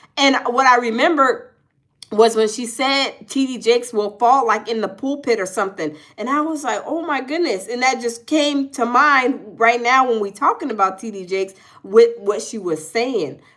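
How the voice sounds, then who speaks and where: At a moderate pace, a woman talks in a high pitch. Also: lively intonation. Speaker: livestream host. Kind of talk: casual chat. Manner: stuttering.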